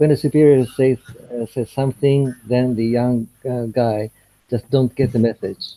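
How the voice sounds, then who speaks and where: This man has a medium pitch and a dark, mellow tone, with fairly even intonation at a moderate pace. The sound is dry and close, with no echo. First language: Japanese. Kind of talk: video call group discussion. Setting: video call. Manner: halting, many fillers.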